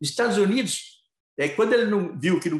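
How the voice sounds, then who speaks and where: Fairly quick male speech with pitch swinging very widely. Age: 70s. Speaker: aikido teacher. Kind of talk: talk at a Masonic lodge. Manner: halting.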